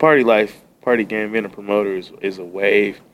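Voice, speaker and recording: With ordinary pitch variation and a moderate pace, a man talks in an unremarkable speaking voice. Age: 30s. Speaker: podcast guest. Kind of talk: casual chat. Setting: studio.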